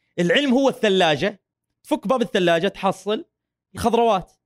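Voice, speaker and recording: On a very clean recording with a silent background, a man speaks at a moderate pace with an animated tone. His pitch swings very widely, and the sound is dry and close with no echo. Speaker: academic researcher on feminism. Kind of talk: casual interview chat.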